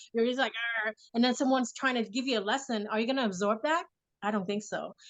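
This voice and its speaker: A woman speaks at a very fast pace with fairly high pitch. Her pitch varies in an ordinary way. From Vietnam. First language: Vietnamese. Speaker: mother and affirmation speaker. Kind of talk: casual interview chat.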